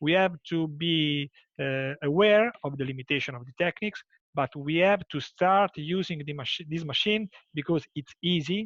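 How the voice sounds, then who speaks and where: With an Italian accent, a man speaks at a fairly high pitch with ordinary pitch variation. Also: moderate pace. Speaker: nephrologist. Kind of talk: closing remarks in a webinar.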